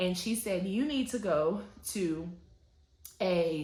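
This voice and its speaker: In a somewhat breathy voice at medium pitch, a woman with an American accent speaks amid audible room echo. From US South, Atlanta, Georgia. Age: 30s. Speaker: lifestyle vlogger. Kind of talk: personal testimony vlog.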